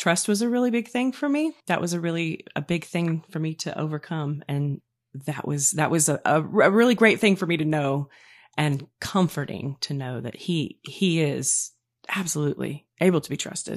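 In a very clean recording with a silent background, a woman speaks at a moderate pace with a fairly low pitch, lively intonation, and an ordinary speaking voice. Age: 40s. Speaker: podcast guest sharing faith story. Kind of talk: testimony.

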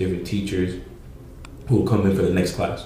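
There is audible room echo as a man with an American accent talks in a very deep, low pitch with monotone, flat intonation. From Pawtucket, Rhode Island, US. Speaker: streetwear creator and musician. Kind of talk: casual chat.

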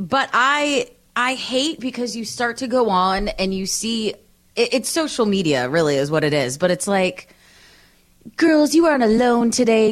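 Her voice is high for a woman and swings very widely in pitch. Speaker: podcast co-host. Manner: sounds angry and loud when talking; loud talker.

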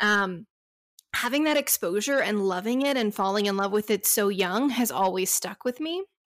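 A woman with an American accent speaks at a moderate pace in an unremarkable speaking voice, her pitch fairly high and her intonation lively. The sound is dry and close, with no echo. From Texas. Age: 30s. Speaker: hiker and travel influencer. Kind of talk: interview.

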